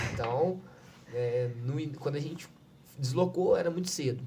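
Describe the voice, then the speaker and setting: Male voice with audible room echo. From Minas Gerais, Brazil. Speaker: civil defense coordinator. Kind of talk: podcast interview, personal testimony.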